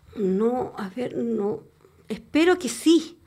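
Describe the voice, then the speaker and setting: A woman's voice with very wide pitch swings, in a very clean recording with a silent background. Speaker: nurse. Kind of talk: testimony.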